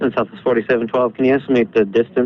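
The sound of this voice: Fast and with fairly even intonation, a man speaks at a medium pitch.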